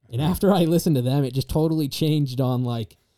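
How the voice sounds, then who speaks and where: A man in a Mountain West accent talks at a fairly quick pace with a dark, mellow tone, the sound dry and close with no echo. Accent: US Mountain West, general American. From Star Valley, Wyoming. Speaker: college student, guest. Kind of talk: casual chat.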